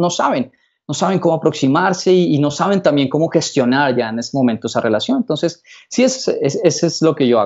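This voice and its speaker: In a plain, everyday voice, a man talks at a fairly quick pace with a fairly high pitch against a quiet background. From Colombia, Bogotá. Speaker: psychologist and seduction coach; seduction coach. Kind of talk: casual interview. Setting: his office. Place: office. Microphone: video call.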